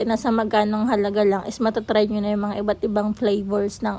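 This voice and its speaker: Somewhat breathy, a woman talks at a fairly quick pace in a fairly high pitch. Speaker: food vlogger. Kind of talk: vlog voice-over. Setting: restaurant. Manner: fast; animated.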